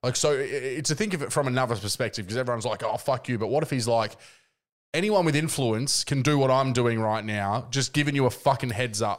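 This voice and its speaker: On a very clean recording with a silent background, a man in an Australian accent talks at a very fast pace with a medium pitch and ordinary pitch variation. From Adelaide, Australia. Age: 30s. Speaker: podcast host. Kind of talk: casual chat.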